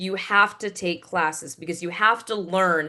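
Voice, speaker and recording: This speaker has an American accent and a bright, sharp tone. The pace is moderate, with fairly even intonation. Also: woman. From Connecticut, US. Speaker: voiceover actress and award show announcer. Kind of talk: interview. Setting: video call.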